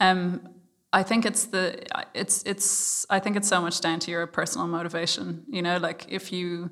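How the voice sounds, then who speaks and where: A woman speaks at a moderate pace in an Irish accent, her medium-pitched voice carrying fairly even intonation. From Ireland. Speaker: startup founder. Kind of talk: interview. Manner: hesitant, many fillers.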